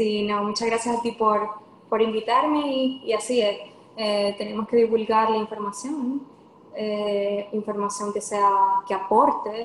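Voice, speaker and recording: A fairly slow-paced female speaker amid noticeable background noise. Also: fairly even intonation. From Venezuela. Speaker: lawyer and nutrition coach. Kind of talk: podcast interview.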